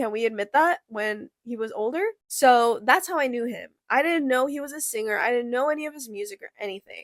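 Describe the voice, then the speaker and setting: A woman talks at a high pitch and a fairly quick pace with hardly any pauses, her tone animated and her intonation lively. Her loudness swings widely, and the sound is dry and close with no echo. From Korea, partly raised in US. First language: Korean. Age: 20s. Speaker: podcast host. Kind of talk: casual chat.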